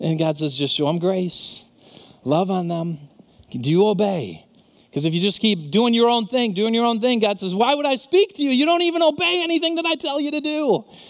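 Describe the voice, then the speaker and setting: A man's high, animated voice with very wide pitch swings over noticeable background noise. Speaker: pastor. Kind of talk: sermon. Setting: church. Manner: earnest, animated preaching that turns to fervent, heartfelt prayer near the end.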